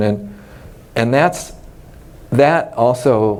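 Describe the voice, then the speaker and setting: Noticeable background noise runs under this recording. A man with an American accent talks at a medium pitch. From US West Coast, Los Angeles. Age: 60s. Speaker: retired mycology professor. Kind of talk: oral history interview. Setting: scientific congress. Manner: hesitant, many fillers.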